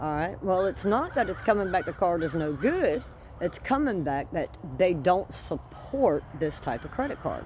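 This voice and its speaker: A woman's pitch swings very widely at a moderate pace. Vocal fry runs through her voice. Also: medium pitch for a woman. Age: 60s. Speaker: homesteading vlogger. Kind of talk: casual vlog storytelling. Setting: outdoors among plants. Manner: animated.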